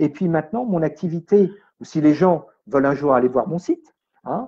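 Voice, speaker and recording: This man has a dark, mellow tone and a fairly high pitch. He talks at a moderate pace with lively intonation. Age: 60s. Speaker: medium and energy healer. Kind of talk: radio interview. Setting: radio studio.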